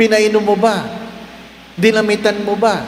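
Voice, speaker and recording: Noticeable background noise and audible room echo surround the recording. A man speaks fairly slowly in a high voice. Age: 60s. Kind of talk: sermon. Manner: animated.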